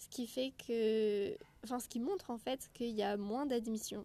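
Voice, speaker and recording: At a fairly slow pace, a woman speaks in a fairly high voice with a dark, mellow tone. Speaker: medical student podcaster. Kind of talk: casual solo podcast monologue. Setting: outdoors.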